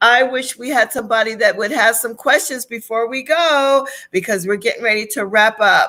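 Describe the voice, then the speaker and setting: A woman with a fairly high pitch and a bright, sharp tone speaks at a moderate pace with hardly any pauses. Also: ordinary pitch variation. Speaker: wellness coach and live show host. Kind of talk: casual interview chat.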